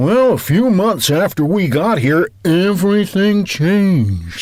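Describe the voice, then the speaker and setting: A man uses a put-on character voice with a high pitch. He talks at a fairly slow pace with very even loudness. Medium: audio drama. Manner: dim, pun-prone.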